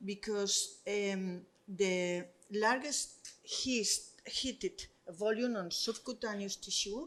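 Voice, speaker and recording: A woman speaks very slowly in a Spanish accent. Her pitch is medium, with ordinary pitch variation. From Spain. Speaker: doctor. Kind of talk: conference presentation. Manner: halting.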